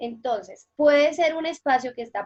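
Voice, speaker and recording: The sound is dry and close, without any echo. A woman talks with ordinary pitch variation. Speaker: teacher. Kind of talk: interview.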